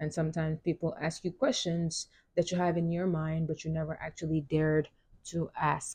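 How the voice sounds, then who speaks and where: A woman's fairly low, dark, mellow voice, somewhat breathy, at a fairly quick pace. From Senegal. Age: 20s. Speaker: podcast host, college student. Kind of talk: solo monologue, personal reflection. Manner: casual with frequent fillers and restarts.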